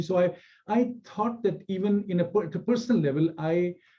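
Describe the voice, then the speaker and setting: With a Pakistani accent, a man speaks in a dark, mellow tone and lively intonation. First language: Punjabi. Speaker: scholar and author. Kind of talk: public talk. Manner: halting, many fillers.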